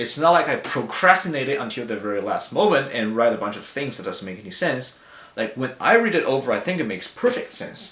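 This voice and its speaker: A man with a Chinese accent talks at a fairly quick pace in a fairly high pitch, with very wide pitch swings and big swings in loudness. Noticeable background noise and audible room echo fill the recording. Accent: Mandarin Chinese accent in English. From China. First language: Mandarin. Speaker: language student. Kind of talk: class discussion video response. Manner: hesitant, many fillers.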